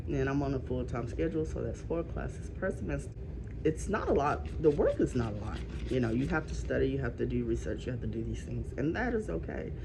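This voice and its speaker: A woman's very fast speech with audible room echo. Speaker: vlogger with chronic illness. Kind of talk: casual vlog rant. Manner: halting, with many fillers.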